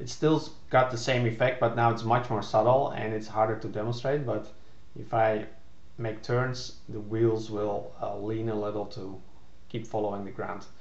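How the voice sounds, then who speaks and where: In a non-native accent, a somewhat breathy man speaks at a moderate pace with monotone, flat intonation and audible room echo. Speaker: game developer. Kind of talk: casual narrated screen demo. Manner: hesitant, many filler words. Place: home room. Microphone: webcam.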